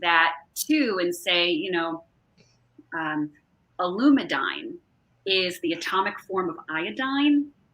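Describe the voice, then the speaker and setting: The voice has a bright, sharp tone and a New Jersey accent. Its pitch swings very widely. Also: woman. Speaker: holistic wellness advocate. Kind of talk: casual interview chat.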